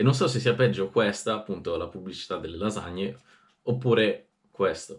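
A man's fairly low, somewhat breathy voice with lively intonation, at a moderate pace over a quiet background. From Italy. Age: 20s. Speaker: youtuber. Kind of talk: casual vlog reading diary aloud. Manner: animated. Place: home room.

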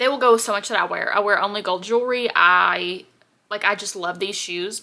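A woman's bright, sharp tone, with fairly even intonation at a fairly quick pace. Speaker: haul vlogger. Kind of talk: casual vlog chat. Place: home room. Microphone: phone near.

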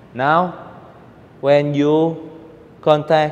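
Very slowly, a man talks with fairly even intonation. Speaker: table tennis coach. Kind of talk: tutorial. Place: hall. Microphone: lapel.

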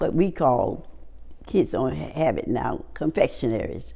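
Someone with a North Carolina accent speaks at a fairly slow pace. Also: woman. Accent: Southern US, North Carolina. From Wake Forest, North Carolina. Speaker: oral history interviewee. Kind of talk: oral history interview answer. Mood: warm, reminiscing. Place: home room.

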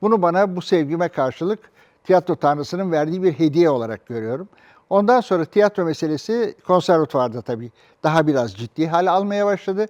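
A man talks fairly quickly in a high pitch with lively intonation. The sound is dry and close, with no echo. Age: 70s. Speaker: theatre director and actor. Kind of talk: interview monologue.

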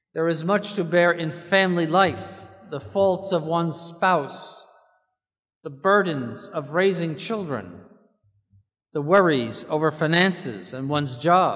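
A man's high-pitched voice at a fairly slow pace against a quiet background. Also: ordinary pitch variation. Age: 70s. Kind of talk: sermon. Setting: church. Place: church. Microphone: podium.

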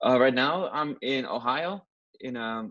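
Here a man speaks with a Dutch accent. The sound is dry with no echo, over a quiet background. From Netherlands (Rotterdam). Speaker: juggler. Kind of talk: interview. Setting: video call. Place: home room. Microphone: earbuds.

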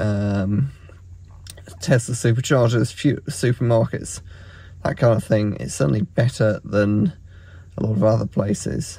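A man with a dark, mellow, somewhat breathy tone talks at a moderate pace in a dry sound with no echo. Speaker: road trip vlogger. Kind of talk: casual vlog chat. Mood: relaxed, pleased. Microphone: phone near.

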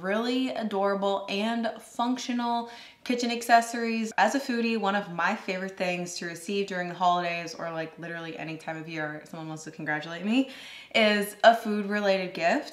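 Audible room echo surrounds a woman talking at a fairly quick pace. Her loudness swings widely, while her pitch variation is ordinary. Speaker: food content creator. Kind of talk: casual vlog chat, product review. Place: kitchen.

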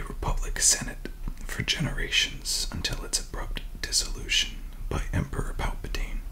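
Soft-spoken whispering at a moderate pace over light background noise. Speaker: book reviewer. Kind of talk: reading aloud and casual commentary. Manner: soft ASMR whisper reading aloud.

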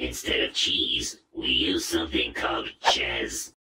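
A man puts on a cartoonish character voice. It comes out raspy. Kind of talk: cartoon voice acting. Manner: deadpan, dry, sarcastic.

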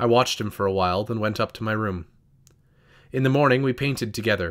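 With an ordinary speaking voice, a man talks at a fairly quick pace at medium pitch with ordinary pitch variation on a very clean recording with a silent background. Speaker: audiobook narrator. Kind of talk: scripted audiobook narration, dramatic and literary, reading aloud a first-person novel.

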